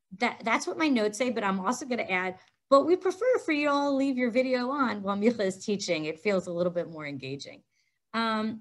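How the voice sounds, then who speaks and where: A woman speaks at a fairly quick pace against a quiet background. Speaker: session facilitator. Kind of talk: housekeeping announcements to an online audience. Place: meeting room. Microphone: headset.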